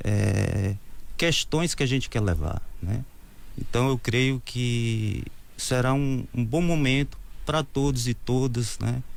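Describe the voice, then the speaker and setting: A man of medium pitch speaks at a very slow pace with long, frequent pauses and ordinary pitch variation. His loudness stays very even, and audible room echo surrounds the voice. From Brazil, Ceará (Crateús). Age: 50s. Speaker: mayoral candidate. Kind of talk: interview.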